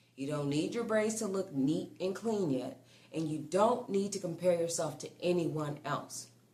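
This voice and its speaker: A woman with a fairly low pitch speaks in a calm tone at a fairly slow pace, with lively intonation. There is audible room echo and noticeable background noise. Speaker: braiding instructor. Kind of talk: tutorial.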